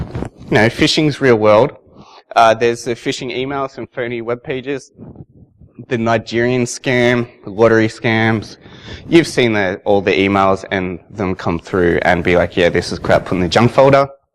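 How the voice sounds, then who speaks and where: Here a man talks with an Australian accent at a moderate pace. His pitch is medium, with ordinary variation. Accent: Australian, noticeable. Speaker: security consultant, conference speaker. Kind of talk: conference talk. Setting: stage with audience. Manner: casual.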